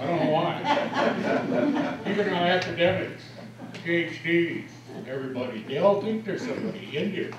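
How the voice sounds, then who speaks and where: Speaking at a high pitch with very wide pitch swings, a man with an American accent keeps a moderate pace amid audible room echo and noticeable background noise. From US Southwest. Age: 70s. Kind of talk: public forum talk. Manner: halting.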